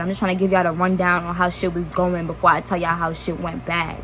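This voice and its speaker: A woman with an American accent talks very fast in a fairly low pitch. Noticeable background noise sits behind her. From New York (Brooklyn). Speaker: YouTuber. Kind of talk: storytime vlog. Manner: casual, rambling asides.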